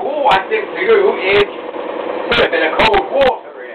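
Loud background noise around a man talking at a moderate pace. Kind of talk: casual vlog chat. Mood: relaxed, playful. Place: kitchen. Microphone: camera far.

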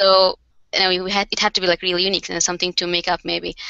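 A woman speaks with a Bengali accent against a quiet background, the sound dry with no echo. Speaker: card maker and craft company co-founder. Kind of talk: casual interview. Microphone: headset.

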